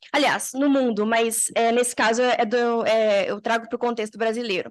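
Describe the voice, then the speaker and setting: This is a woman speaking. Her pace is fairly slow. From Minas Gerais, Brazil (Belo Horizonte). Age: 20s. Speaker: university student researcher, panel speaker. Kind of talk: seminar presentation. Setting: conference hall with audience. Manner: hesitant, many fillers.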